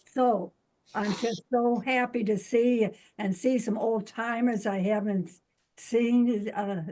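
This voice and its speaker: Very slowly, a woman with a fairly high pitch speaks in a dark, mellow tone and fairly even intonation. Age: 80s+. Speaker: spiritual healing teacher. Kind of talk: casual chat. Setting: video call.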